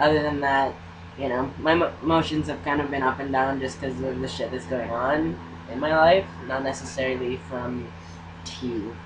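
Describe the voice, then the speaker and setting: Over noticeable background noise and audible room echo, a medium-pitched man talks at a moderate pace with lively intonation. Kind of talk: casual chat.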